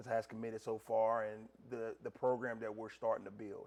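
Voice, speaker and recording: With a North Carolina accent, a man speaks at a medium pitch and a moderate pace in a monotone, flat intonation. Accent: US Southern (North Carolina). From North Carolina (Gastonia). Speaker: college basketball head coach. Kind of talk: interview. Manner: loud.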